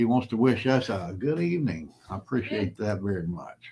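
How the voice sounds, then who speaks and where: A man with a Southern US accent at a moderate pace. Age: 60s. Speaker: prepper channel host. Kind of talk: casual livestream chat. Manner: plain-spoken, unpolished.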